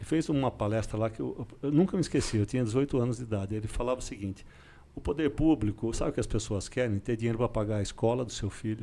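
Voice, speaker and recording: A man with a dark, mellow tone speaks at a medium pitch. His pace is very fast, with ordinary pitch variation. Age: 60s. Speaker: public official. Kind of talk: podcast interview.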